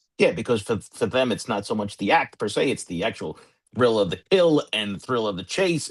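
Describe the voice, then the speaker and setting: Using an unremarkable speaking voice, a man with an American accent talks fairly quickly at a medium pitch with lively intonation. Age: 50s. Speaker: retired police sergeant, cold-case expert. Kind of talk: casual discussion. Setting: live stream.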